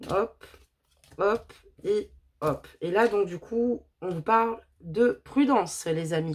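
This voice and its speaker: A loud woman's voice. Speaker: tarot card reader. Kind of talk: tarot reading.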